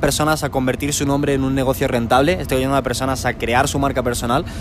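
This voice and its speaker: A man's fairly high voice at a very fast pace, with noticeable background noise. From Spain. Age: young. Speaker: YouTube creator and coach. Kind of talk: interview. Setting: terrace of a shopping centre.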